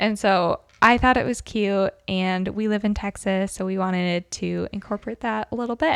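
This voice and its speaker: Using an unremarkable speaking voice, a woman at medium pitch talks at a moderate pace with fairly even intonation. The sound is dry and close with no echo, in a very clean recording with a silent background. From northern US. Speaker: podcast co-host. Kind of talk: casual chat.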